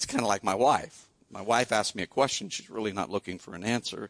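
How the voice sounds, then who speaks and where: A man with a Midwestern US accent speaks at a fairly quick pace, his pitch fairly low with ordinary variation. The sound is dry and close, with no echo. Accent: US Midwest. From Iowa. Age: 60s. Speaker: pastor. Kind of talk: sermon. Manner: conversational, with frequent fillers.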